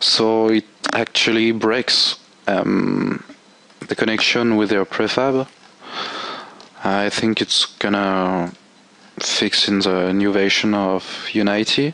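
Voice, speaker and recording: Over noticeable background noise, a man talks at a very slow pace with long, frequent pauses. His pitch is fairly low, his intonation fairly even and his loudness very even. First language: not English. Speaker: game tool developer. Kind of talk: software tutorial. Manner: halting.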